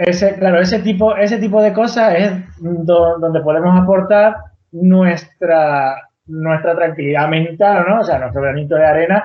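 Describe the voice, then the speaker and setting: This man speaks high in pitch, fairly slowly, with ordinary variation in pitch. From Venezuela, Canarian mother, raised partly in Andalusia. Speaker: tiny house builder. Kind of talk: podcast interview. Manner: halting, many repetitions and false starts.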